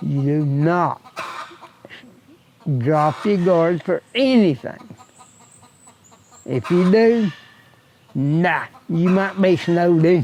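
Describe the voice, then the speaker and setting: A man with an Appalachian accent speaks at a very slow pace, leaving long, frequent pauses. His pitch is high and his intonation lively, against noticeable background noise. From US Appalachia, Wyoming County, West Virginia. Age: 70s. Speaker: retired laborer. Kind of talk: interview.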